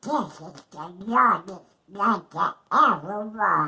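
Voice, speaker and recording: This female-sounding voice is a put-on character voice at a middle pitch. It moves at a very slow pace. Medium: read story.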